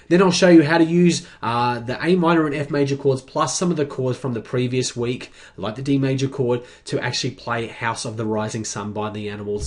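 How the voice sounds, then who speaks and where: With an Australian accent, a man speaks at a fairly quick pace and medium pitch, with ordinary pitch variation and hardly any pauses. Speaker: guitar teacher. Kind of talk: sales pitch for course. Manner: casual, many fillers.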